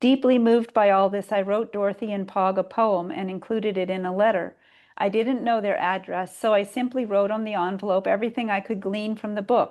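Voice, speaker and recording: A normal speaking voice talks at a fairly quick pace with an American accent. The intonation is fairly even, and the background is quiet. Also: woman. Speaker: poet. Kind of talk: reading aloud.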